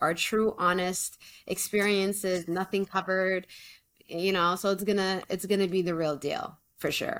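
A woman with a Canadian accent has an unremarkable speaking voice at medium pitch, moderate pace and fairly even intonation. The recording is very clean, with a silent background. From Canada. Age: 20s. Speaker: teacher and podcast co-host. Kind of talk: casual chat.

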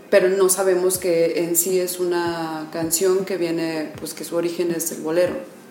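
A woman with a fairly low pitch speaks at a moderate pace in a monotone, flat intonation, with hardly any pauses. Noticeable background noise and audible room echo surround her voice. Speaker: internet radio host. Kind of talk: radio interview.

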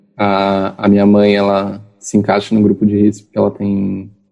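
This is an unremarkable speaking voice. It moves along at a moderate pace. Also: man. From interior of São Paulo state, Brazil. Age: 20s. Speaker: geography student. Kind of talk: interview. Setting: video call.

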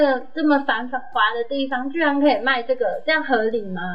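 With a high pitch, ordinary pitch variation and a moderate pace, a woman is speaking. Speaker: podcast co-host, veterinarian. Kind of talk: casual chat. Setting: studio. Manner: shaky voice.

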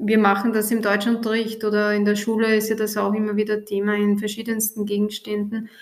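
A woman speaks in a fairly high voice with flat, monotone intonation and hardly any pauses. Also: fairly quick pace. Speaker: teacher and podcast host. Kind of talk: school podcast interview. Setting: recorded in the evening.

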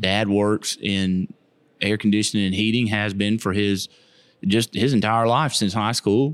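With a Southern US accent, a man speaks at a fairly slow pace, his fairly low voice holding very even loudness and fairly even intonation. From Florida, Keysville/Lithia area. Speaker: missionary. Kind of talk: casual interview.

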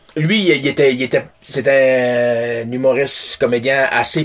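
A man speaks in a plain, everyday voice at medium pitch. His intonation stays fairly even. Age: 40s. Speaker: podcast guest. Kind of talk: casual chat.

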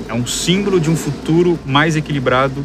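Amid noticeable background noise and audible room echo, the speech runs at a moderate pace with ordinary pitch variation. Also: man. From Brazil, Guarujá (São Paulo coast). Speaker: environmental engineer. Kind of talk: casual interview.

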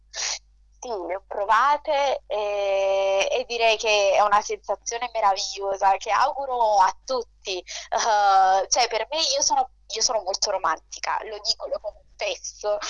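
Fairly slow, fairly high female speech with ordinary pitch variation. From Naples, Italy. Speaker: debut novelist. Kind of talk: radio interview.

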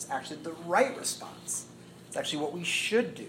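An American accent at a fairly quick pace, with audible room echo. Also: man. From US Midwest (Indiana). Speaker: pastor. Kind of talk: sermon. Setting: church talk to young adult group.

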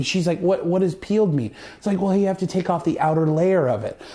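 Someone talks at a fairly quick pace in a Canadian Prairies accent. Background noise is noticeable. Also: man. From Canada, Saskatchewan (Moose Jaw). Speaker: actor. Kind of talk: casual chat.

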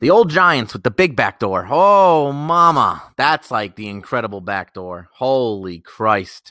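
A man with an American accent at a medium pitch, bright and sharp in tone and animated, with very wide pitch swings, big swings in loudness, a fairly slow pace and hardly any pauses, in a very clean recording with a silent background and a dry, close sound with no echo. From Westchester County, New York. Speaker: sports betting podcaster. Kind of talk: solo casual commentary on betting picks.

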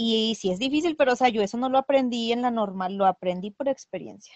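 A fairly quick delivery in an ordinary speaking voice, its pitch varying in an ordinary way. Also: woman. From Mexico. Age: 30s. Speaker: preschool teacher and cosplayer. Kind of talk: casual interview chat.

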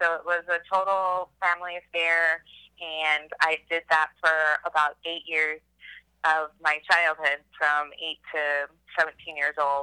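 A woman with an American accent, very deep and low in pitch, speaking at a very slow pace, with a flat, monotone delivery, a bright, sharp tone and a dry, close sound with no echo. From Texas, Austin. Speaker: documentary filmmaker. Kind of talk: interview.

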